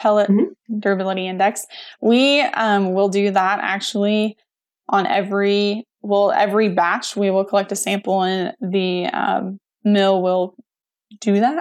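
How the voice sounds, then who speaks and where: A woman with an American accent, medium pitch and fairly even intonation, at a fairly slow pace. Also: very clean recording, silent background. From Missouri, US Midwest. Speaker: feed mill coordinator. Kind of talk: interview.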